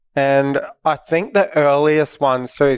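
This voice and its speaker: A man with an Australian accent speaks at a fairly high pitch in a monotone, flat intonation. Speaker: professional bodyboarder. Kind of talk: casual chat. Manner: quiet, laid-back.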